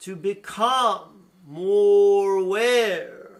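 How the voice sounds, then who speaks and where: A man puts on a character voice, pitched high for a man. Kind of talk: spiritual channeling. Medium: solo performance. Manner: slow, deliberate, soothing.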